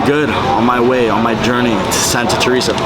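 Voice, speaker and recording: A man is speaking with noticeable background noise. The room echo is audible. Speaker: vlogger. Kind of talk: casual travel vlog. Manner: casual.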